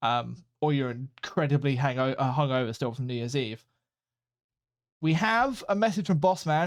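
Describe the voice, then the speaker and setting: With a British accent and lively intonation, a man talks at a fairly quick pace on a very clean recording with a silent background. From Britain. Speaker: podcast co-host. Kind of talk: casual chat.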